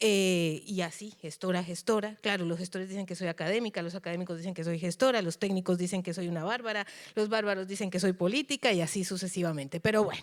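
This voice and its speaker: Her pace is very fast. This woman has a medium pitch and ordinary pitch variation. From Colombia. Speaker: cultural manager. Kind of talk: lecture. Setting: auditorium.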